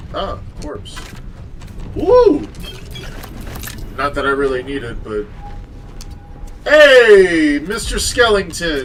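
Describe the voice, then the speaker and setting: A man speaks at a very slow pace, with long, frequent pauses and big swings in loudness. Audible room echo and noticeable background noise surround him. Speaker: video game streamer. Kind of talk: casual live-stream gaming chat. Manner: relaxed, with many fillers.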